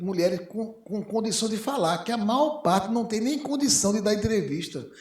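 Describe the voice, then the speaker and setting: In a room with audible echo, a man talks at a fairly quick pace with very wide pitch swings. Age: 60s. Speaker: physician. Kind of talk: panel discussion. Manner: halting.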